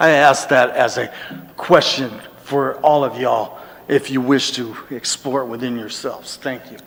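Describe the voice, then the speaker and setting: A man at medium pitch speaks at a moderate pace with fairly even intonation and big swings in loudness, over noticeable background noise. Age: 60s. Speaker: public commenter. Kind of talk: public comment.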